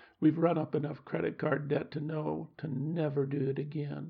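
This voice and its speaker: A man's fairly high-pitched voice with vocal fry, fairly slow pace and fairly even intonation. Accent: American. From US Midwest. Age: 70s. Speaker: podcast host. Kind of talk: scripted reflective monologue.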